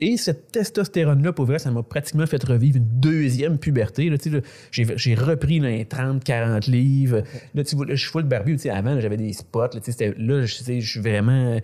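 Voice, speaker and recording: Speaking with a Quebec accent, a man has a dark, mellow tone that is somewhat breathy, with ordinary pitch variation. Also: medium pitch for a man, moderate pace. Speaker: comedian. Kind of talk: casual chat.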